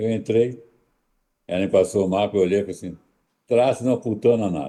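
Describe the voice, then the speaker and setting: Dark, mellow tone at a fairly quick pace, with ordinary pitch variation over a quiet background. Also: man, fairly low pitch for a man. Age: 80s+. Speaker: astrologer. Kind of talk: interview.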